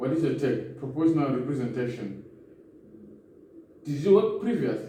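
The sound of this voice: With strong room echo, a man talks at medium pitch and a moderate pace, his tone dark and mellow and his pitch swinging widely.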